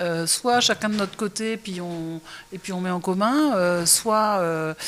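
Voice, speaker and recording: The woman's pitch moves in an ordinary way. She speaks at a fairly slow pace. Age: 60s. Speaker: restaurant chef and owner. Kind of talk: interview. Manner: hesitant, many fillers.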